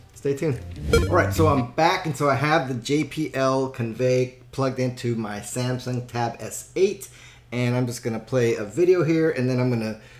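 A man talks at a moderate pace with ordinary pitch variation while faint music plays in the background. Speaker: product reviewer. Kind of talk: product review tutorial. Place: home room.

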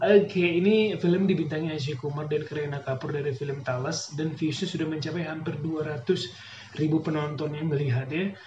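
A man's fairly high voice at a fairly quick clip, hardly any pauses, audible room echo and light background noise. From Indonesia. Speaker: YouTube reaction channel host. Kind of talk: reaction video commentary. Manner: animated. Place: home room. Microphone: lapel.

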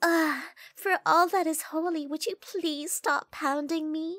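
In a put-on character voice, the speaker uses an extremely high pitch at a fairly slow pace. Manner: exasperated, pleading.

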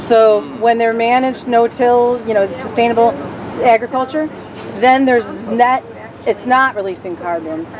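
There is noticeable background noise as a woman talks at a moderate pace. Her pitch is fairly high, with ordinary variation. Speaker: bus trip organizer interviewing riders. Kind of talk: casual interviews. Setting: on a bus. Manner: animated. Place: bus. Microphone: phone near.

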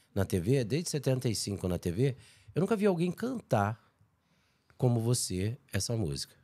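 A man at a very slow pace, with long, frequent pauses and very wide pitch swings, over a quiet background. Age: old. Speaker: podcast host. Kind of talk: casual chat. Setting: studio, live stream. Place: studio. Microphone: studio mic.

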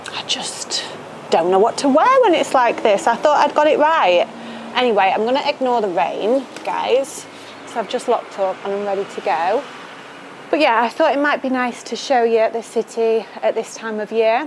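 Light background noise accompanies a woman who talks at a moderate speed. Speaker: lifestyle vlogger. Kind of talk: casual vlog chat. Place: street.

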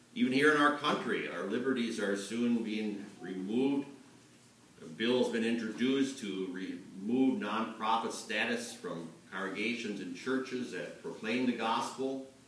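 A man's moderately paced speech comes with audible room echo. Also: ordinary pitch variation. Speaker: pastor. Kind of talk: sermon. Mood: earnest, serious. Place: church.

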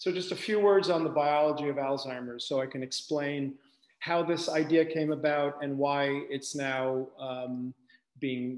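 A man at a fairly slow pace, with audible room echo and a quiet background. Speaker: medical researcher giving lecture. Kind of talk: lecture. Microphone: webcam.

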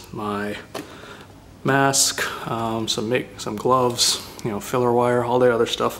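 A man talks with fairly even intonation. Light background noise can be heard. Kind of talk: casual project walkthrough. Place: garage. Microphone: phone near.

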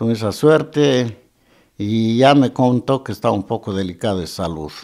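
The man has a dark, mellow tone with ordinary pitch variation. The background is quiet. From Azuay, Ecuador. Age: 70s. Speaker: musician; interviewee. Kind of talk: interview; interview answer. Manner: halting. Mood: reflective, remembering a deceased friend. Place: office. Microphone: handheld.

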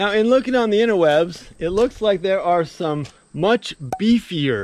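A man with a high pitch speaks at a fairly slow pace with lively intonation. The sound is dry with no echo, over light background noise. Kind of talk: casual vlog chat. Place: open country. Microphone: phone near.

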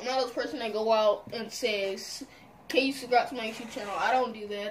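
Speech comes at a moderate pace with long, frequent pauses and big swings in loudness. Pitch varies in an ordinary way over light background noise. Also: woman. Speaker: gamer. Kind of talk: casual gaming commentary. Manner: excitable. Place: home room.

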